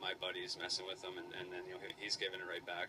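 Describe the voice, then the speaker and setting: Over noticeable background noise, a man talks at a very deep, low pitch. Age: older brother. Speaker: professional hockey goalie. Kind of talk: post-game interview answer.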